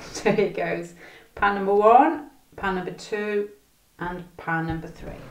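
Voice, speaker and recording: Amid audible room echo, a woman of medium pitch speaks at a moderate pace with ordinary pitch variation, big swings in loudness, and long, frequent pauses. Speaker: tarot reader. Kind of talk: tarot reading to camera.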